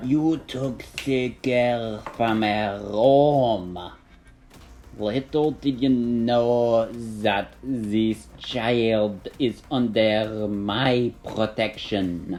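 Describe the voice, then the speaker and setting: In a put-on character voice, the speaker growls at a very slow pace. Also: man, medium pitch for a man. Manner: threatening, protective.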